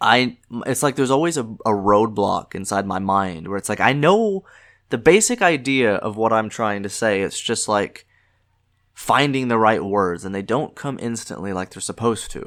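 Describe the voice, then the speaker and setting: In a very clean recording with a silent background, a man with an American accent talks with lively intonation. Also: medium pitch for a man, moderate pace. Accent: slight southern US accent, comes out at times. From US South. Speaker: podcast host. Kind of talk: casual monologue. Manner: halting, many filler words; stumbles on words.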